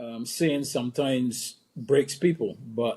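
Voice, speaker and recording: His voice is fairly high-pitched with a dark, mellow tone. The man moves at a fairly slow pace with ordinary pitch variation. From Barbados, rural St. Philip. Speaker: former cricketer, consultant and speaker. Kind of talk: interview conversation. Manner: hesitant, many fillers.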